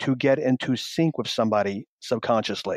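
This man's voice sounds dry and close, without any echo. The background stays quiet. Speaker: sales trainer. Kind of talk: interview. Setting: phone call. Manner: mirroring pace, faster.

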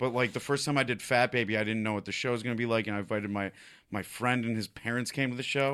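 Speaking very fast with a bright, sharp tone, a man of medium pitch keeps a fairly even intonation on a very clean recording with a silent background. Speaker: stand-up comedian. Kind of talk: casual chat. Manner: joking, irreverent.

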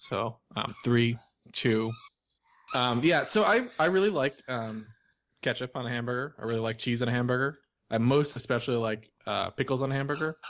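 A man with an American accent speaks at a medium pitch and a moderate pace. His pitch varies in an ordinary way over a quiet background. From New York. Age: 30s. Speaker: podcast co-host. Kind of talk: casual chat. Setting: video call.

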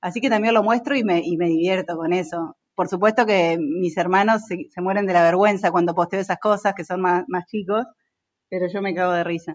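A woman speaks in a Rioplatense accent. Her pace is fairly quick. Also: medium pitch for a woman, ordinary pitch variation. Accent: Argentine Spanish (rioplatense). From Argentina, Entre Ríos. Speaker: construction company director. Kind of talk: casual interview.

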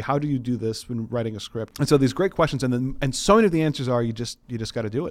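A man with a medium pitch speaks very fast, his pitch varying in an ordinary way. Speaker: podcast co-host and game designer. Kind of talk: casual chat. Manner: animated.

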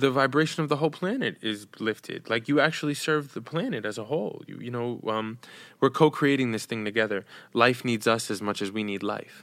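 Using a normal speaking voice, a man with an American accent talks at a fairly quick pace and medium pitch, with ordinary pitch variation and big swings in loudness, in a very clean recording with a silent background. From New York, Dominican family. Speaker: storyteller, actor and speaker. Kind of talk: casual interview chat.

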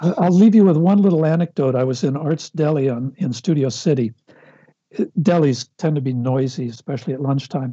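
A somewhat breathy man with an American accent, fairly high pitch, ordinary pitch variation and a fairly quick pace. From Los Angeles, US. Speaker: film writer and director. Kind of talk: casual interview conversation.

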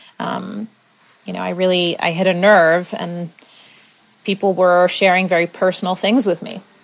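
Speaking in a flat, monotone way at a moderate pace, a woman with an American accent and a medium pitch leaves long, frequent pauses over noticeable background noise. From US, Maryland. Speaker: podcast host. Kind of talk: personal monologue. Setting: home apartment, not studio.

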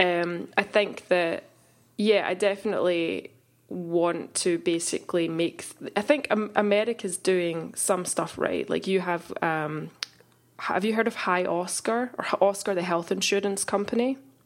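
With a Glasgow accent, a woman talks at a fairly slow pace. Her pitch sits in the medium range and varies in an ordinary way. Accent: Scottish (Glasgow). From Glasgow, Scotland. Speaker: photographer and insurance founder. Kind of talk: casual interview.

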